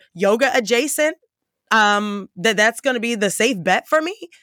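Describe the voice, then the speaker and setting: A woman speaks in a bright, sharp, animated tone at a fairly high pitch. The sound is dry and close, with no echo. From Texas, Dallas area. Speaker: henna artist and business coach. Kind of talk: casual interview.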